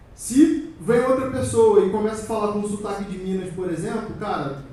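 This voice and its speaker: A man with a high pitch speaks at a moderate pace and lively intonation. Audible room echo and noticeable background noise fill the recording. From Brazil, Rio de Janeiro. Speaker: security conference speaker. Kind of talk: conference talk. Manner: animated, conversational.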